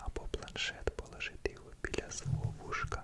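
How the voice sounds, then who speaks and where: A man whispering over noticeable background noise. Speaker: ASMR creator. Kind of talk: ASMR intro talk. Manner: normal speaking voice.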